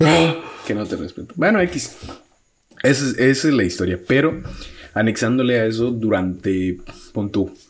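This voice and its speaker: Speaking in a Mexican accent, a man keeps a moderate pace and a medium pitch, with long, frequent pauses. His intonation is lively. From Mexico, outside Mexico City. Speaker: podcast co-host. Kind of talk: casual chat.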